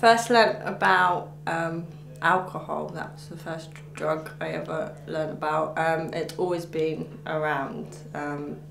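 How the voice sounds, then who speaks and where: In an English accent, a woman speaks very slowly at a very deep, low pitch with ordinary pitch variation and big swings in loudness. The recording has audible room echo and noticeable background noise. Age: 20s. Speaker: recovering addict. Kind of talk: interview testimony. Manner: halting, many fillers.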